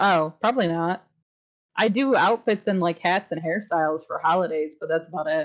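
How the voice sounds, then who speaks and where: A woman with a plain, everyday voice talks at a moderate pace at a fairly low pitch with ordinary pitch variation. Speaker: podcast co-host. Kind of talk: casual chat.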